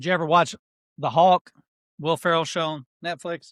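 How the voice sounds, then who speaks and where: A man with a Pennsylvania accent and a high pitch speaks at a moderate pace in a very clean recording with a silent background and a dry, close sound with no echo. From Pennsylvania, US. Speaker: podcast co-host. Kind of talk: casual chat.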